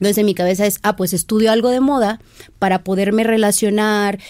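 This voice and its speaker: This woman talks at a medium pitch with monotone, flat intonation. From Mexico, southern Veracruz coast. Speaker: fashion stylist. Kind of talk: casual interview chat.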